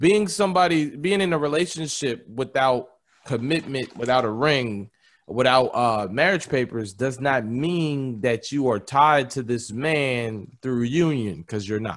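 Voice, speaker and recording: A man's medium-pitched voice, animated in tone with lively intonation, at a fairly slow pace. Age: 30s. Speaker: podcast host. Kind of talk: casual chat.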